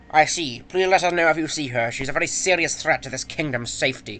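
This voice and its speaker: Putting on a character voice, a man speaks at a fairly quick pace with a fairly high pitch. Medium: game stream. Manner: stiff, commanding.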